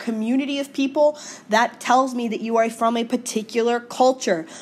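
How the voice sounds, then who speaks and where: A woman's high-pitched voice, animated in tone, at a moderate pace. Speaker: high school teacher. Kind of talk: recorded lecture. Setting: screencast video.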